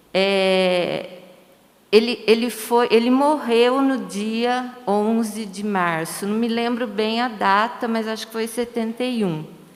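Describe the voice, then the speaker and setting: Over noticeable background noise, a woman talks at a very slow pace in a fairly high pitch with ordinary pitch variation. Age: 60s. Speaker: retired teacher. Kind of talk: panel discussion. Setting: livestream on social media.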